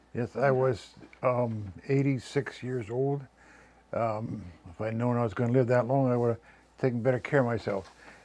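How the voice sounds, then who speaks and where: With a dark, mellow tone at a medium pitch, a man speaks at a moderate pace with fairly even intonation and long, frequent pauses. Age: 80s+. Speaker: interviewee, retired father. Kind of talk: family interview. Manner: halting.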